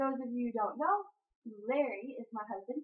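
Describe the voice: With a slightly husky edge, a woman speaks slowly at a high pitch.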